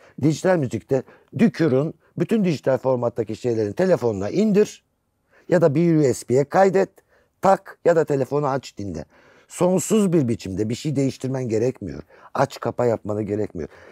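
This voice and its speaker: Against a quiet background with dry sound and no echo, a man with a dark, mellow tone talks at a moderate pace with very wide pitch swings. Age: 60s. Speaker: music critic and writer; guest. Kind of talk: casual chat. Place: studio.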